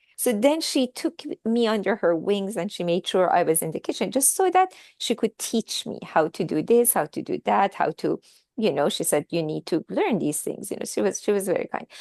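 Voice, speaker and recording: Recorded dry and close with no echo against a quiet background, a woman at medium pitch talks at a moderate pace with very wide pitch swings. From Iran, Tehran. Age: 60s. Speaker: author. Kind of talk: interview.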